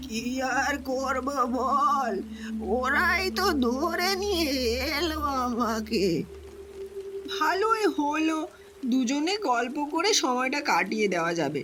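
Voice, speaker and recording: Someone uses a put-on character voice at a very slow pace. Clear background noise can be heard. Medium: read story. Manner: plain-spoken, boastful storyteller.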